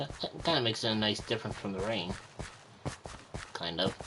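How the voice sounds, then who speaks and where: Noticeable background noise sits behind a man talking at a fairly quick pace in a fairly low pitch. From Republic of Ireland. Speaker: gaming streamer. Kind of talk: live gameplay commentary. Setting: livestream. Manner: halting, frequent repeated words.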